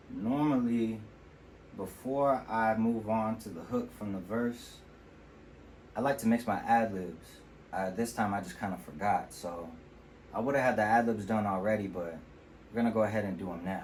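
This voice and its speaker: A relaxed tone with ordinary pitch variation at a moderate pace, with long, frequent pauses and audible room echo. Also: man, fairly low pitch for a man. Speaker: rapper and home sound engineer. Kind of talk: tutorial. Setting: home studio. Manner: casual, relaxed.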